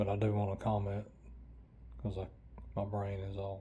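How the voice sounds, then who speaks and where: With an Appalachian accent, a man speaks in a fairly low, somewhat breathy voice of dark, mellow tone, with audible room echo. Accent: Appalachian Southern. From Western North Carolina, Appalachia. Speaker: vlogger. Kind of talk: casual vlog monologue. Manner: halting, many fillers. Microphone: lapel mic removed, built-in camera mic.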